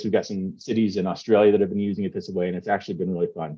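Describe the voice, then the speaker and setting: A dark, mellow tone over a quiet background. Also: man. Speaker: founder of a public engagement software company. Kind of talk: conference presentation. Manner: fast.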